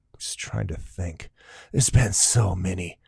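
Very deep and low, this man's voice is somewhat breathy with a dark, mellow tone. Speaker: podcast host and comedian. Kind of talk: casual interview. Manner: animated.

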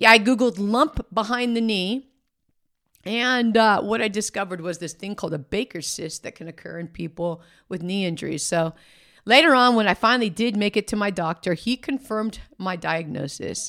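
A woman talks in an ordinary speaking voice at a moderate pace. Her intonation is lively and her loudness swings widely. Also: medium pitch for a woman, very clean recording, silent background. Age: 50s. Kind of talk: faith podcast monologue, personal testimony.

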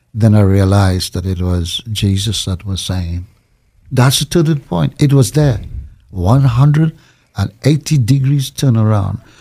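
A man's fairly low, somewhat breathy voice at a fairly slow pace, with lively intonation. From Trinidad. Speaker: pastor. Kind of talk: interview.

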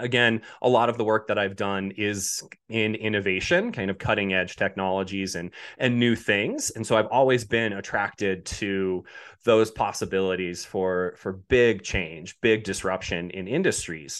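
A man with an American accent and an unremarkable speaking voice talks at a moderate pace against a quiet background. His pitch is fairly low and his intonation fairly even. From Colorado. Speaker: robotics company representative. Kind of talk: interview.

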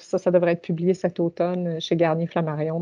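A woman speaking at a moderate pace. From Ontario, Canada. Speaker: university administrator. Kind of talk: interview. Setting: video call.

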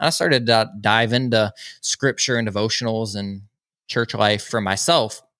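Here a man talks with a Southern US accent at a moderate pace. His medium-pitched voice has a bright, sharp tone and ordinary pitch variation. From US South, Georgia (small town). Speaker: podcast host and mental health advocate. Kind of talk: testimony interview. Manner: animated.

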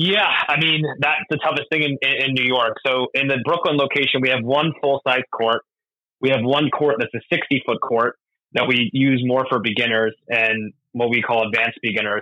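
With an American accent, a man talks in an ordinary speaking voice at a medium pitch and a moderate pace. His loudness stays very even, and his pitch varies in an ordinary way. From US Northeast, Doylestown, Pennsylvania (earlier Florida). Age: 30s. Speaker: tennis coach and operations director. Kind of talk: podcast interview.

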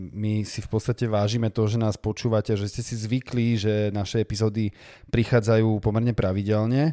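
This man's voice has a dark, mellow tone and a fairly low pitch, moving at a fairly quick pace. His intonation is monotone and flat, and the sound is dry and close with no echo. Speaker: podcast co-host. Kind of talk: casual chat. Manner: fluent.

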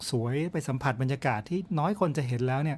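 With a medium pitch, the man here has an ordinary speaking voice. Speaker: podcast host, outdoor travel storyteller. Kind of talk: storytelling monologue.

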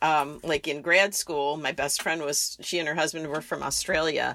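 At a moderate pace, a woman with an American accent speaks in an unremarkable speaking voice, fairly low in pitch. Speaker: podcast co-host. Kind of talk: casual chat.

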